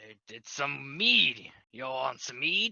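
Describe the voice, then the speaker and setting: A man uses a put-on character voice. It sounds raspy and moves at a fairly slow pace. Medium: actual play. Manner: casual, folksy.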